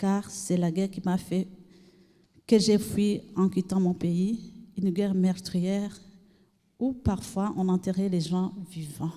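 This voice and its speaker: At a very slow pace with long, frequent pauses, a woman speaks in a monotone, flat intonation with a medium pitch and a dark, mellow tone. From Burundi. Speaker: refugee, trainee. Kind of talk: testimony.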